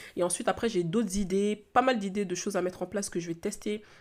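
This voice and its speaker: A woman's medium-pitched voice with fairly even intonation, in a very clean recording with a silent background. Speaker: entrepreneur and podcast host. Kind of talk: solo podcast monologue. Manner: fast; hesitant, many fillers.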